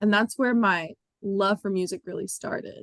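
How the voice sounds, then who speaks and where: A woman speaks at a moderate pace with an American accent, her pitch medium and her intonation fairly even. The sound is dry and close, with no echo. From Pennsylvania, Bucks County (Levittown). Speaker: singer-songwriter. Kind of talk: interview.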